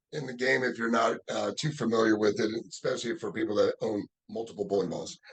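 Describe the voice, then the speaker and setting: The speaker has an American accent. The intonation is lively and the pace moderate. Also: man. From Los Angeles area, California. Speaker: professional bowler and bowling coach. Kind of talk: casual interview. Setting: bowling alley.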